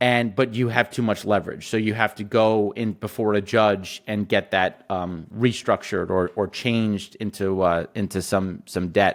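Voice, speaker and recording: In a normal speaking voice, a man talks at a moderate pace with a fairly low pitch and hardly any pauses. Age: 40s. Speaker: energy and agriculture investor, company CEO. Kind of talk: interview.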